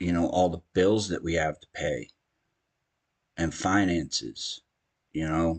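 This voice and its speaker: The soft-spoken voice moves at a fairly slow pace with long, frequent pauses and fairly even intonation. The sound is dry and close with no echo, and the background is quiet. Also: man, very deep, low pitch for a man. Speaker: gaming streamer. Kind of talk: casual chat.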